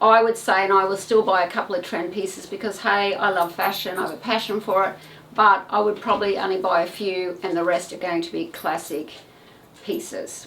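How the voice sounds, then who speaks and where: Over noticeable background noise, a woman with a medium-pitched voice talks at a fairly quick pace. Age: 60s. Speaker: retired fashion stylist, video creator. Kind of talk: casual vlog tutorial. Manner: chatty, informal with filler words.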